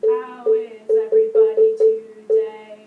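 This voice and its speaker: Someone uses a put-on character voice at an extremely high pitch, speaking at a fairly slow pace. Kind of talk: mechanical. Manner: flat, monotone, no pitch change.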